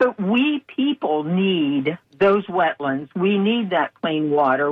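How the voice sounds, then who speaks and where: In an American accent, a woman talks at a very slow pace with a fairly low pitch. Her pitch swings very wide. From rural Pennsylvania. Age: 70s. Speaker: birding festival organizer. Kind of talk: radio interview.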